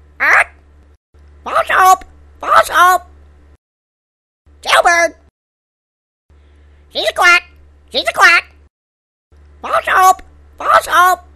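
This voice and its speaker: A put-on character voice pitched extremely high moves at a very slow pace, broken by long, frequent pauses. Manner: squawking, repetitive shouting.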